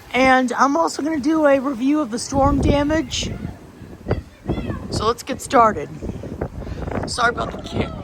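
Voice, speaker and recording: Background noise can be clearly heard. The talking proceeds at a moderate pace. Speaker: storm video creator. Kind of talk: casual vlog commentary. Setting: outdoors. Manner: loud; animated.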